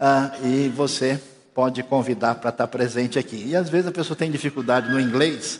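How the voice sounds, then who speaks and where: Using a plain, everyday voice, a man talks at a moderate pace and medium pitch with fairly even intonation. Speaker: pastor. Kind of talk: sermon. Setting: church.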